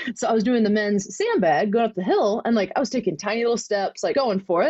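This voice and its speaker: The speech has a lively intonation over noticeable background noise. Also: woman. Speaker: podcast host. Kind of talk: casual chat, interview.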